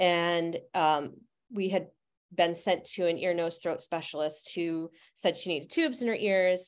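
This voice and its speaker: A woman with an American accent and an ordinary speaking voice talks at a fairly slow pace in a fairly low pitch, with fairly even intonation over a quiet background. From Utica, central New York. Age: 50s. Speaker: herbalist and astrologer. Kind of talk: interview.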